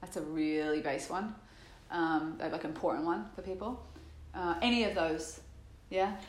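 Amid noticeable background noise, a woman with a fairly low pitch talks at a fairly slow pace, her lively intonation broken by long, frequent pauses. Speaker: meditation teacher. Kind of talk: guided meditation. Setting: guiding a group in a room. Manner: explanatory, conversational in the talk portion.

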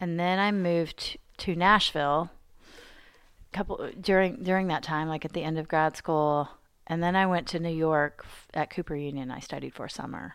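A woman with an American accent talks at a moderate pace in an ordinary speaking voice, fairly low in pitch with fairly even intonation. Her loudness swings a lot on a very clean recording with a silent background. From Arkansas, US South, rural small towns. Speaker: visual artist and art educator. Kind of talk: casual chat. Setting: artist's studio.

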